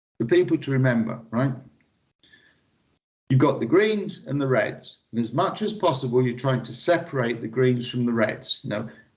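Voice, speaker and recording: A man talks with lively intonation in a somewhat breathy, medium-pitched voice. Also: moderate pace. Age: 60s. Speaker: lean manufacturing consultant. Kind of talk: interview. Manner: animated.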